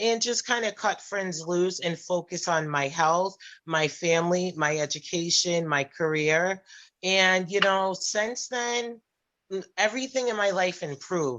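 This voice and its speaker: Pitched in the middle range with ordinary pitch variation, a woman speaks in a plain, everyday voice. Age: 40s. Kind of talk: personal testimony in group discussion.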